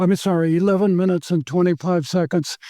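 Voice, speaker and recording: Recorded dry and close with no echo, a man with an American accent speaks at a high pitch in a dark, mellow tone. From Virginia, USA. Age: 90s. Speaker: masters swimmer. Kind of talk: interview answer.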